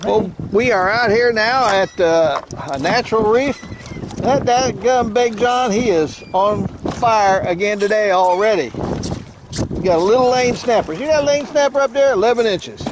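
The speech runs at a fairly slow pace, with noticeable background noise throughout. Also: dry sound with no echo. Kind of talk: casual vlog chat. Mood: cheerful, joking. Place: boat. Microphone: helmet.

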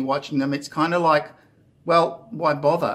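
This man has an Australian accent and talks at a fairly quick pace. His intonation stays fairly even. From Australia (Queensland). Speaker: YouTuber. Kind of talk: casual vlog monologue. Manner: hesitant, many fillers. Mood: earnest, encouraging. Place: home room. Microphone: phone near.

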